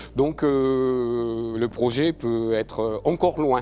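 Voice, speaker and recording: Medium pitch and a dark, mellow tone from a man, with ordinary pitch variation. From France (adopted from Venezuela at age 5). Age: 50s. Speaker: paralympic equestrian rider. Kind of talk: interview testimony.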